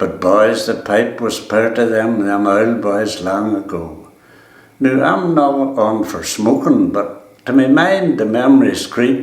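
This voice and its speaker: Speaking with a Donegal accent, a man talks at a very slow pace. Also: medium pitch for a man, lively intonation. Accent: Ulster Scots, Donegal. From East Donegal, Ireland. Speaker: farmer. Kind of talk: dialect poetry reading.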